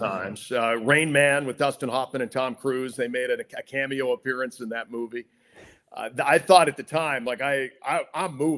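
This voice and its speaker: A man with a plain, everyday voice speaks at a medium pitch, with ordinary pitch variation and a moderate pace. The recording is very clean, with a silent background. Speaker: radio play-by-play announcer (sports broadcaster). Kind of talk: interview answer, telling career anecdotes. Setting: podcast interview.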